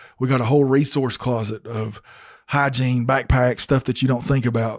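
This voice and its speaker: A man speaks at a moderate pace in a medium pitch, his intonation monotone and flat. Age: 30s. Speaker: peer recovery advocate. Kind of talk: podcast interview. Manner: casual, lots of fillers.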